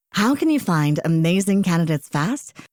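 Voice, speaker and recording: At a moderate pace comes a plain, everyday voice, recorded with a dry, close sound with no echo. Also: woman. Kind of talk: radio ad read.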